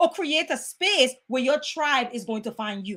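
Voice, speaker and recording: A loud, animated woman's voice with very wide pitch swings. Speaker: motivational speaker. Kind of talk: motivational talk.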